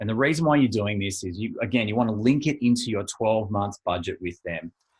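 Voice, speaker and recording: This man has a normal speaking voice, medium in pitch, with ordinary pitch variation and a moderate pace. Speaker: financial planning coach. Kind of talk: webinar presentation. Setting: online webinar.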